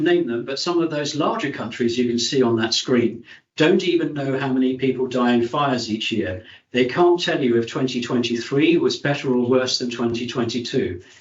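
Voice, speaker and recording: Here a man speaks with a British accent at a medium pitch. His pace is moderate and his pitch varies in an ordinary way. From UK. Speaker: fire safety expert speaker. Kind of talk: presentation at online meeting.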